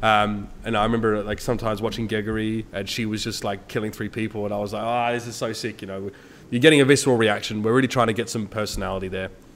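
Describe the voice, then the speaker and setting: A man with a fairly low pitch and an Australian accent, talking at a very fast pace with hardly any pauses. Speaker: esports caster. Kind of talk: casual commentary on a stream. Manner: casual, many fillers.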